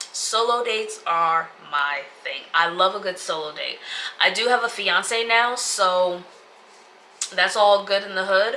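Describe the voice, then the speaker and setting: Noticeable background noise runs behind a woman at a very slow pace. Her pitch is medium, with ordinary variation. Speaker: lifestyle vlogger. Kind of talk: casual vlog talk to camera. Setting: home sit-down video.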